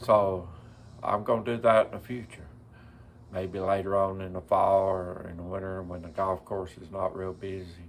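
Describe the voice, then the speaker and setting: In a relaxed tone, a man with a very deep, low pitch speaks at a moderate pace, monotone and flat, with big swings in loudness. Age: 70s. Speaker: vlogger. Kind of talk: casual vlog narration. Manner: relaxed, folksy.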